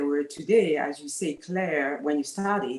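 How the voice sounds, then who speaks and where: A woman with a French accent speaks with ordinary pitch variation. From France. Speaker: talent manager. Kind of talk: panel discussion. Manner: halting, many fillers.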